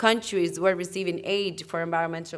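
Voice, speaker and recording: The intonation stays fairly even. It belongs to a woman with a non-native accent. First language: not English. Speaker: climate policy panelist. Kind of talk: panel discussion. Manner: halting, self-correcting.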